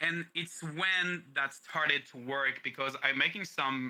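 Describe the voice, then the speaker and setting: Moderate pace and ordinary pitch variation, in a French accent. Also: man. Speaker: streamer and voice actor. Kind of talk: interview. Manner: halting.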